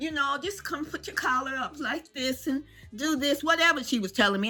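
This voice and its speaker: An animated, raised and projected woman's voice, high-pitched with very wide pitch swings, over music in the background. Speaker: senior lifestyle vlogger. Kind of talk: casual storytelling to camera. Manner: animated, humorous.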